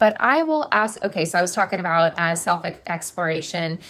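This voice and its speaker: A woman speaks at a moderate pace with a fairly low pitch. Her pitch variation is ordinary. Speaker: life and success coach. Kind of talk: casual talk to camera. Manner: animated.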